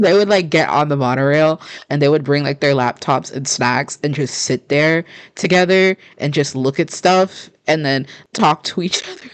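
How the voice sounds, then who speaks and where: A woman speaks quietly at a moderate pace. Her pitch is very deep and low. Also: ordinary pitch variation. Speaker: podcast co-host. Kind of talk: casual chat.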